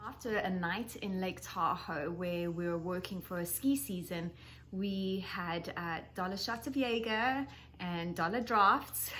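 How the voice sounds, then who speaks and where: With a South African accent, a woman speaks at a fairly slow pace and medium pitch. Her pitch variation is ordinary, and audible room echo is present. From South Africa, Johannesburg. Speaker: skincare educator. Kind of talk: presentation.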